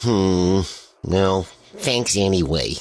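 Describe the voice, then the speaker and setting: A man performs a put-on character voice. His pitch is very deep and low. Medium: video game. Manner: polite, awkward, self-pitying.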